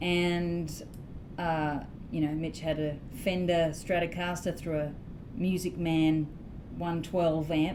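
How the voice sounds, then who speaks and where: With an Australian accent, a woman at a fairly low pitch speaks very slowly in a monotone, flat intonation, pausing long and often, in a room with audible echo. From Australia, Sydney. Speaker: blues guitarist and singer-songwriter. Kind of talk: interview.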